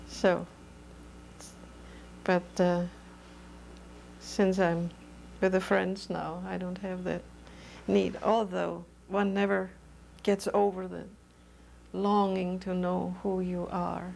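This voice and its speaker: A woman with a German accent speaks at a very slow pace, leaving long, frequent pauses. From Germany. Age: 70s. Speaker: oral history interviewee. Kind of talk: oral history interview. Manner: halting.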